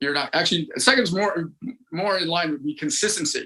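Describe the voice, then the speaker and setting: A man speaks at a high pitch with lively intonation. His tone is bright and sharp. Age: 60s. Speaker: celebrity personal trainer. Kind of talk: casual interview chat. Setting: podcast. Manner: halting, many repetitions.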